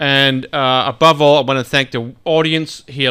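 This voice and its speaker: Loud and bright with a sharp tone, the voice keeps a fairly even intonation on a very clean recording with a silent background. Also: man. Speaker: radio host. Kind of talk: radio show sign-off and interview.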